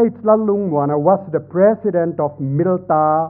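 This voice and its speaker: A man speaks fairly slowly in a plain, everyday voice, fairly high in pitch. His intonation is lively, and the background is quiet. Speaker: senior professor, speaker; speaker. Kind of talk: formal speech. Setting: stage with audience. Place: hall. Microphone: podium.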